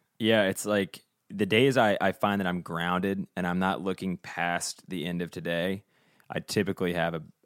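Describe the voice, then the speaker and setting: A man speaks with an American accent in a very deep, low pitch. His intonation is fairly even, and the recording is very clean with a silent background. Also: moderate pace. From Virginia, US South. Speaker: podcast co-host, musician. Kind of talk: casual chat.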